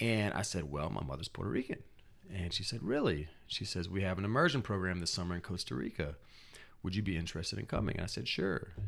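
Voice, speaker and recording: Very fast and very deep, a man with an American accent speaks with vocal fry. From US South. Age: 30s. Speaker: spoken word artist. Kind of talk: interview. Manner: halting, many repeated words.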